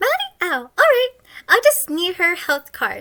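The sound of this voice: Putting on a character voice, a woman goes extremely high in pitch with a bright, sharp tone, very wide pitch swings and a moderate pace.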